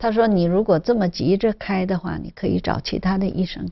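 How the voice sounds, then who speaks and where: With a slight Shanghai accent, a woman speaks at a moderate pace and medium pitch, with vocal fry. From Zhejiang, China. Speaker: cancer survivor. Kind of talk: interview testimony. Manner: halting, many fillers.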